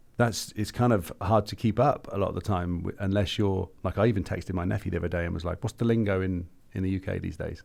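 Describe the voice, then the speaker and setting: Speaking at a very fast pace with an English accent, a man with a very deep, low pitch keeps a fairly even intonation in a very clean recording with a silent background. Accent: English accent, kept after years in the US. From England. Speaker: podcast co-host. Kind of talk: casual chat.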